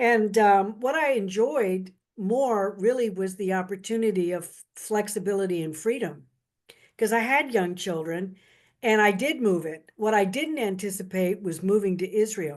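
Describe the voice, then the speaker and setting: A woman with a plain, everyday voice talks at a moderate pace and a medium pitch, with ordinary pitch variation. The background is quiet. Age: 60s. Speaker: beauty consultant, guest speaker. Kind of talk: casual talk on video call. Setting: video call.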